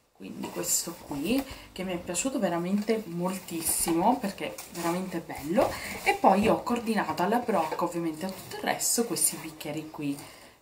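A woman with a fairly low pitch and an unremarkable speaking voice talks at a moderate pace over light background noise. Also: lively intonation. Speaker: beauty and lifestyle vlogger; lifestyle vlogger. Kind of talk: casual haul video talking to viewers. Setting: in her bedroom. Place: home room. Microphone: phone near.

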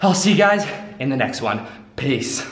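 Audible room echo surrounds a man's voice. He speaks at a high pitch and a moderate pace. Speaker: fitness coach. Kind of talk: casual vlog outro. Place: gym. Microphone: camera far.

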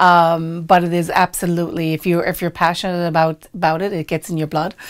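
Intonation stays monotone and flat at a fairly quick pace. The background is quiet. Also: woman, fairly low pitch for a woman. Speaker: restaurant owner. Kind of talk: interview answer. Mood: warm, friendly, smiling at times. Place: studio.

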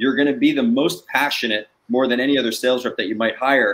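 A man with a New Jersey accent talks at a fairly quick pace in a medium pitch with ordinary pitch variation. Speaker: sales trainer and startup founder. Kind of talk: guest interview on a live webcast. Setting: video call. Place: home room.

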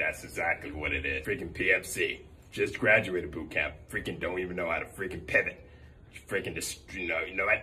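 A man performs in a put-on character voice. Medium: role play. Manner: loud, exasperated.

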